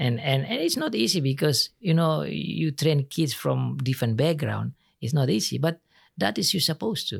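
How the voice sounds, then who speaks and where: A man speaks with an Indonesian accent. The sound is dry and close with no echo, on a very clean recording with a silent background. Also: moderate pace. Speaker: pastor. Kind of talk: interview. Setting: studio.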